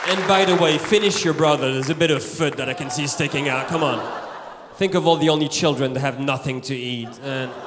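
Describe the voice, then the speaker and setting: Over noticeable background noise, a man speaks at a fairly quick pace with ordinary pitch variation. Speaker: stand-up comedian. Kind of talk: stand-up comedy routine. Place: stage. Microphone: handheld.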